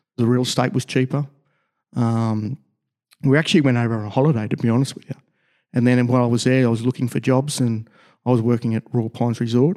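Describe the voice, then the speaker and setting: This man has an Australian accent and a dark, mellow tone, at a medium pitch with fairly even intonation. He speaks very fast yet leaves long, frequent pauses, on a very clean recording with a silent background. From Australia, Logan, Queensland. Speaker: sports construction business owner, former rugby player. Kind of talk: casual interview. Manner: halting, many fillers.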